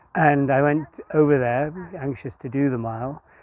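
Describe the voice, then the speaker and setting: Here a man talks at a medium pitch with ordinary pitch variation. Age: 60s. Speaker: masters club runner. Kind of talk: interview. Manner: hesitant, many fillers.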